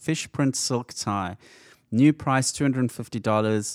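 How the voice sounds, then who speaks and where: Here is a man with a normal speaking voice at a medium pitch. His pitch varies in an ordinary way, and the sound is dry and close with no echo. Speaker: podcast co-host. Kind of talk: casual interview chat.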